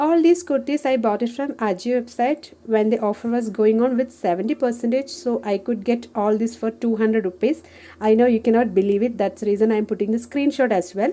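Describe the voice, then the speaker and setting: A woman speaks in a Keralan accent with a dark, mellow tone. Her pitch is fairly high, with ordinary variation. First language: Malayalam. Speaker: homemaker and office worker. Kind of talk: casual haul video talk to camera.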